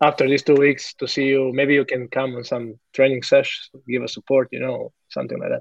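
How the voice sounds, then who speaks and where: With a Croatian accent, a man talks at a fairly quick pace in a dry, close sound with no echo. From Croatia, Zagreb. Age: 30s. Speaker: professional football goalkeeper. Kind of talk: interview. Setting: video call from hotel room. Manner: halting.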